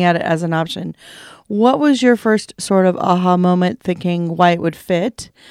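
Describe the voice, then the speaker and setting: A woman's plain, everyday voice at medium pitch, ordinary pitch variation, moderate pace, dry, close sound with no echo. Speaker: podcast co-host.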